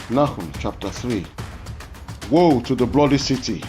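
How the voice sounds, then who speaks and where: A man speaks with a Nigerian accent and lively intonation. Music can be heard in the background. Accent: Yoruba-accented English. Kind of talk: scripture reading.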